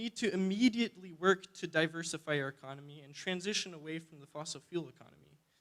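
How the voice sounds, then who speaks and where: Talking at a fairly quick clip in an Alaskan accent, a man uses a bright, sharp tone and a high pitch. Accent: Alaskan American English. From Alaska, Fairbanks. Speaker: student climate activist. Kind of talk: public testimony. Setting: public hearing. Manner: hesitant, many fillers.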